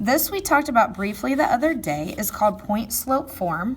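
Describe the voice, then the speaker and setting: Very wide pitch swings mark speech that unfolds at a fairly slow pace. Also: woman. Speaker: math teacher. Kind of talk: tutorial.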